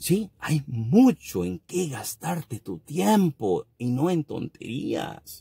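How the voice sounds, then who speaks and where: Over a quiet background, a man with a dark, mellow, somewhat breathy tone talks at a very slow pace with hardly any pauses, his fairly high pitch moving in very wide swings. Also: dry sound with no echo. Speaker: YouTuber and trucking business owner. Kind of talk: casual advice monologue; casual vlog chat, opinion rant. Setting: at a work site. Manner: halting; blunt. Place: car. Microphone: phone near.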